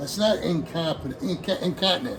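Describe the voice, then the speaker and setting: A man's high-pitched, relaxed voice with lively intonation, a moderate pace and noticeable background noise. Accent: American. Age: 60s. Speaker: hobbyist vlogger, retired firefighter. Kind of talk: casual vlog monologue. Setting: home hobby room. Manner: rambling, relaxed.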